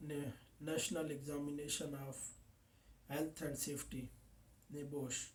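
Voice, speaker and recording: A fairly high-pitched man with a Pakistani accent, at a fairly slow pace. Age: 20s. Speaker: safety officer. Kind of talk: mock job interview. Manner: formal; halting.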